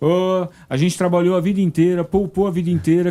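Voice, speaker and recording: High in pitch yet dark and mellow in tone, a man's voice moves at a moderate pace. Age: 60s. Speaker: university professor and economic commentator. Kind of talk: news talk show discussion. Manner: animated.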